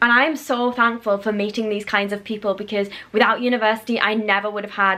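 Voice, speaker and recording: A woman talks at a very fast pace with a fairly high pitch and ordinary pitch variation. Noticeable background noise can be heard. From northern England, Newcastle. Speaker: vlogger, university graduate. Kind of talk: casual chat. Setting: home video filmed on a tripod. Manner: clear enunciation.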